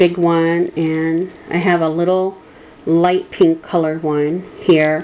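Over noticeable background noise, a woman with an American accent speaks at a fairly slow pace, with fairly low pitch and monotone, flat intonation. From Michigan, US. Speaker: crafting video creator. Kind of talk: tutorial. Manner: hesitant with frequent fillers.

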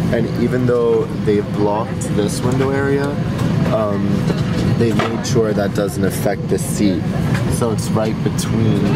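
Music plays in the background while a man speaks. He leaves long, frequent pauses. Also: ordinary pitch variation. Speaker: travel reviewer. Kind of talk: casual vlog chat. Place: plane. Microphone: phone near.

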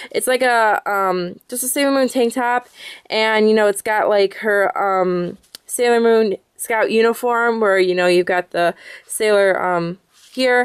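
The speaker has an American accent and a fairly slow pace with ordinary pitch variation. The background is quiet. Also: woman, fairly high pitch for a woman. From Michigan. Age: 20s. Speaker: YouTuber. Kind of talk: casual vlog. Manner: rambling, filler-heavy. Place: home room. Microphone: phone near.

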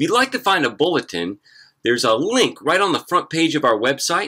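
A man's bright, sharp voice with vocal fry and very wide pitch swings. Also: quiet background. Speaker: pastor. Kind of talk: church service welcome and announcements. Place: garden. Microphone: phone near.

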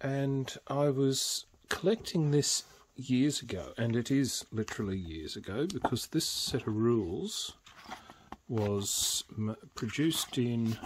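A man with an Australian accent at a fairly slow pace, over light background noise. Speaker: tabletop games YouTuber. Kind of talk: casual show-and-tell video; casual vlog chat. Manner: casual, with fillers. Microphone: phone near.

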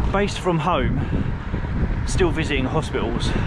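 A man speaks at a moderate pace over loud background noise, with a dry sound and no echo. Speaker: cycling vlogger. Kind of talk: casual vlog chat. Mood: excited about his new job. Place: bicycle.

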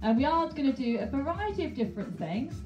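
At a moderate pace, a woman talks while clear music sounds behind her. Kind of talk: fitness class instruction. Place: home room.

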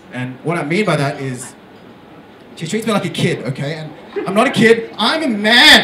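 At a moderate pace, a man with a high pitch speaks in very wide pitch swings amid noticeable background noise. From Australia, Melbourne area; Vietnamese parents. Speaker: stand-up comedian. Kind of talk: stand-up. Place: stage.

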